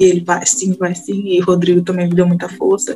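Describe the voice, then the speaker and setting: Her voice sits at a medium pitch. She talks fairly quickly. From rural Bahia, Brazil. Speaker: community organizer. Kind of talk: interview.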